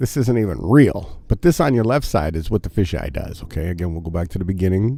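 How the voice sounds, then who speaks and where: Over noticeable background noise, a man speaks at a very fast pace in an energetic tone, his pitch swinging very widely. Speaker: morning show host. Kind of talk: casual livestream commentary.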